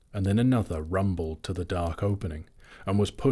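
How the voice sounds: This recording has a natural reading voice throughout.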